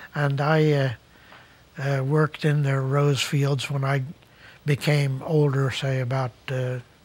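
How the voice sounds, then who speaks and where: A man with a fairly high pitch sounds somewhat breathy and monotone, with flat intonation. He talks at a fairly slow pace with long, frequent pauses. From Netherlands, emigrated as child to New Jersey. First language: Dutch. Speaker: retired resident sharing life story. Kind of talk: interview. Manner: halting, many fillers.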